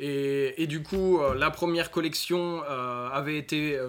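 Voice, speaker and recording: Noticeable background noise runs behind a man speaking at a fairly slow pace. His pitch is fairly high, with ordinary variation. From northern France, north of Lille. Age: 20s. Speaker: e-commerce entrepreneur and crypto expert. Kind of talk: interview. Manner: halting, many fillers.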